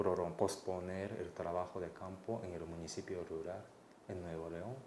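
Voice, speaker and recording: With a Mexico City accent, a man speaks in a very deep, low pitch and a dark, mellow tone, with audible room echo around him. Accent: Mexico City Spanish accent, Japanese speaker. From Japan. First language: Japanese (speaking Spanish). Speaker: anthropologist researcher. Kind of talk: interview. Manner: hesitant, many fillers.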